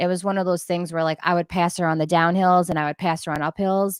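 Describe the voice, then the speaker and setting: A woman's fairly low-pitched voice on a very clean recording with a silent background. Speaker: ultrarunner and teacher. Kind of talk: casual chat. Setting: livestream. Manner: loud; animated.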